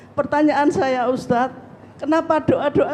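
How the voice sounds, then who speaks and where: Over noticeable background noise, a woman with a high pitch talks at a moderate pace. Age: 60s. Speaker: audience member asking a question. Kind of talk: question at a religious study session. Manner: formal.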